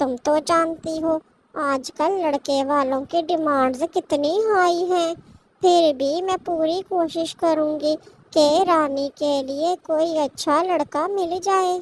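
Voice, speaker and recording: A female-sounding cartoonish character voice, extremely high in pitch. It moves at a very slow pace. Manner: chatty, direct.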